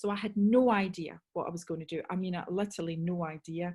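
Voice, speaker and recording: With a Scottish accent, a woman speaks at a moderate pace and medium pitch in a somewhat breathy voice with a dark, mellow tone. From Scotland. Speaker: sales trainer. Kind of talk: webinar talk. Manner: animated.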